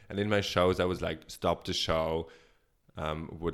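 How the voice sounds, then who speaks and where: Recorded very cleanly against a silent background, a man speaks at a very deep, low pitch. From Switzerland. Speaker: drag performer. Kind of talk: interview answers, casual.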